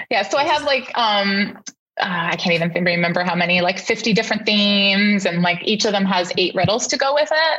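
Here a woman with a Canadian accent has a plain, everyday voice at a medium pitch. She talks at a fairly quick pace with lively intonation and very even loudness. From Canada. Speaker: parenting content creator. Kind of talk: interview.

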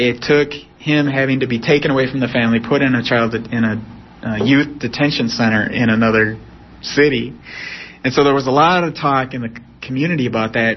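Here is a man with a plain, everyday voice at a medium pitch. His pace is fairly quick and his intonation fairly even. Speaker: professor. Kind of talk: interview.

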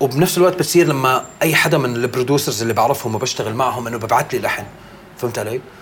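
A man speaks at a very fast pace, his medium pitch moving with ordinary variation. Noticeable background noise runs behind him. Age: 40s. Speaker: rapper. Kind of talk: casual chat.

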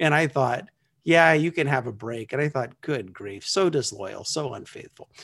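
A man speaks at a moderate pace in an ordinary speaking voice, his pitch fairly high and his intonation lively. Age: 50s. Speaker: small groups consultant. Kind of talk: interview.

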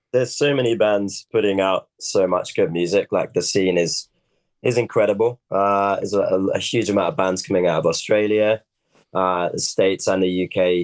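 A man with a West Country accent at a moderate pace, in a dry, close sound with no echo. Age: 30s. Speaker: metal band vocalist and guitarist. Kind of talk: casual interview chat.

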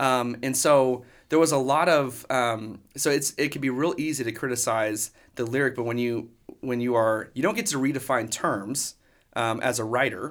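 A man with a Texan accent is heard in a very clean recording with a silent background. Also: medium pitch for a man, ordinary pitch variation, moderate pace. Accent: Texan American. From Texas, Dallas area. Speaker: worship pastor. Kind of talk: casual interview.

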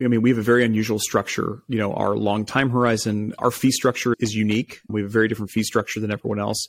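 At a very fast pace, a man speaks at medium pitch. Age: 30s. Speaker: private equity investor. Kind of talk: interview.

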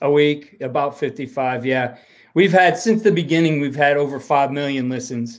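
With an American accent, a man uses a normal speaking voice at a fairly high pitch, moderate pace and ordinary pitch variation. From Ohio. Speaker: football coach and podcaster. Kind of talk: interview.

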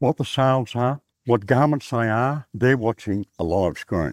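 A man at medium pitch with a rural Australian accent, fairly slow in pace, on a very clean recording with a silent background and a dry, close sound with no echo. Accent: broad rural Australian. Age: 70s. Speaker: cotton farmer. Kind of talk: casual chat. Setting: outdoors.

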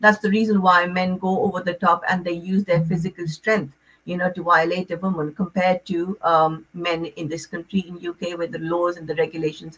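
In a normal speaking voice, a woman with a fairly low pitch talks at a moderate pace with fairly even intonation and big swings in loudness. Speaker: relationship counsellor. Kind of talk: radio interview.

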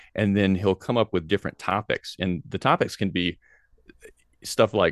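A man with an American accent and an unremarkable speaking voice talks at a moderate pace, fairly low in pitch with fairly even intonation, dry and close with no echo. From US South, Tennessee. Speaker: philosophy professor. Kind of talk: interview. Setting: video call.

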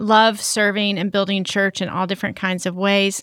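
A woman with an American accent speaks at a moderate pace in a normal speaking voice, her pitch medium. The sound is dry and close with no echo, in a very clean recording with a silent background. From US South, Arkansas. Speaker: staff pastor. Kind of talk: casual chat.

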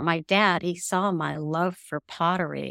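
A woman with a fairly low pitch and vocal fry speaks with ordinary pitch variation. The recording is very clean with a silent background and a dry, close sound with no echo. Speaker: podcast guest. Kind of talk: casual chat.

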